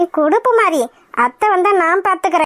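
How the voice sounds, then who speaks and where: A woman puts on a squeaky character voice with an extremely high pitch and lively intonation. She speaks at a fairly slow pace, in a dry, close sound with no echo. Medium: cartoon.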